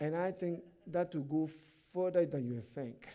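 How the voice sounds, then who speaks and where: A man's high-pitched voice with a dark, mellow tone and a non-native accent, at a fairly slow pace, with ordinary pitch variation. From Africa. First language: not English. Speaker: pastor. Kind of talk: sermon. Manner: animated.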